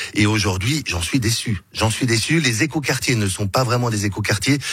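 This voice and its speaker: A man talks at a fairly quick pace and medium pitch with ordinary variation, over noticeable background noise. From Switzerland, Geneva (Meyrin). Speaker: political candidate. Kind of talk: radio interview. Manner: hesitant, with repetitions.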